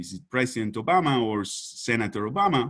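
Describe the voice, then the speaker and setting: Against a quiet background, a man with a Spanish accent talks with lively intonation. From Uruguay. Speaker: economist. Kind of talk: conference presentation. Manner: halting, many fillers and repetitions.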